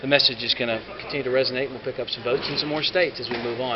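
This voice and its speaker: A man with a Southern US accent talks at a very fast pace in a medium pitch. Noticeable background noise and audible room echo fill the recording. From US South. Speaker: campaign spokesman. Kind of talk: press gaggle Q&A. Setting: press gaggle with reporters. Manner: casual, halting with fillers.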